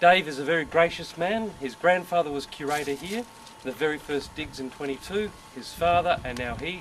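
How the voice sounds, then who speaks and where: A man with an Australian accent talks at a fairly quick pace, his loudness swinging widely. His pitch varies in an ordinary way, with noticeable background noise behind him. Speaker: military chaplain. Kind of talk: introduction to a guided tour.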